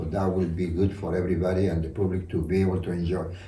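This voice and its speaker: In a room with audible echo, a man speaks fairly quickly in a dark, mellow, somewhat breathy tone. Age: 80s+. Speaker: dragon fruit hybridizer and hobby grower. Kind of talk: casual chat. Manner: halting.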